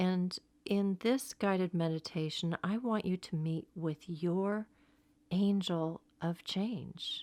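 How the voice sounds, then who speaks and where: A woman talks in a calm, soothing tone with ordinary pitch variation. The recording is very clean, with a silent background. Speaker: meditation guide. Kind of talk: guided meditation. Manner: slow, calm, soothing.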